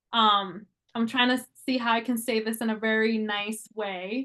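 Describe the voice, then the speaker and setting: Against a quiet background, a woman with a fairly high, bright and sharp voice speaks at a fairly slow pace. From New York, the Bronx (Dominican family). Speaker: licensed clinical social worker. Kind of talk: podcast interview. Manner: passionate; frequent fillers (um).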